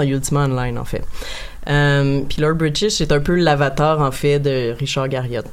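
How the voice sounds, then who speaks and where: A moderately paced, very deep, low woman's voice amid noticeable background noise and audible room echo. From Quebec, Montreal. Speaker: guest on a video game podcast. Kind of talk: casual chat.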